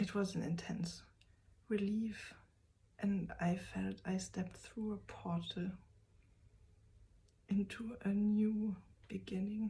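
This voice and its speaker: A woman's medium-pitched voice with a non-native accent, somewhat breathy and dark, mellow in tone, flat and monotone at a very slow pace, with long, frequent pauses. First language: German. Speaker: vlogger. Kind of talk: personal vlog. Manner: halting.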